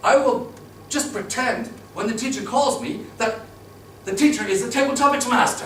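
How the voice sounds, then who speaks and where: This man has an extremely high pitch and a moderate pace, with long, frequent pauses, noticeable background noise and audible room echo. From Turkey. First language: Turkish. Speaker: public speaking club member. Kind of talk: prepared storytelling speech. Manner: animated.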